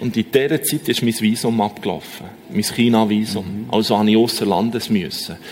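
Over noticeable background noise, a man talks at a fairly quick pace with a fairly low pitch and ordinary pitch variation. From Switzerland, Bern canton (Oberaargau). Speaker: long-distance walker. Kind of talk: testimony. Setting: church.

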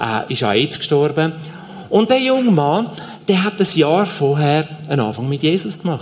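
A man's fairly high voice with very wide pitch swings, at a moderate pace, over noticeable background noise. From Switzerland, Zurich Oberland. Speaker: aid organization leader. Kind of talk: church stage interview. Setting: church stage.

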